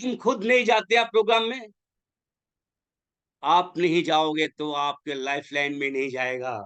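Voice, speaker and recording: Very wide pitch swings mark this man's speech. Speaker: network marketing leader. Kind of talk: motivational webinar talk. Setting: online webinar. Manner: animated, exhorting; blunt.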